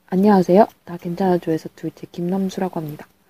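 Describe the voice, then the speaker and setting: The voice has a dark, mellow tone, is somewhat breathy, and moves at a fairly quick pace, with a dry, close sound and no echo. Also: woman. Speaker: university student hosting a class radio-style segment. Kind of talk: reading aloud letters in radio style. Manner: playful.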